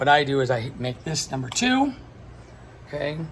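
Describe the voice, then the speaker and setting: Light background noise sits behind a man speaking at a fairly high pitch. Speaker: lighting technician. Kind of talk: tutorial. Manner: casual, filler-heavy. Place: hall. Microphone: phone near.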